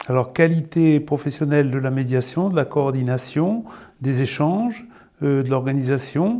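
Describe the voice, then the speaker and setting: Speaking at a fairly slow pace, a man with a fairly high pitch and a dark, mellow tone uses lively intonation. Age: 60s. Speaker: job seeker from heavy industry. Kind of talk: self-presentation interview. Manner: halting.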